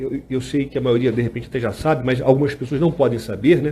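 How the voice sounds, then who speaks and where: A man talks in a dark, mellow tone that comes across somewhat breathy. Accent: Rio de Janeiro. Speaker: lawyer and law lecturer. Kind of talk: live-streamed lecture. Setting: home studio, Instagram live. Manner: casual, with frequent fillers.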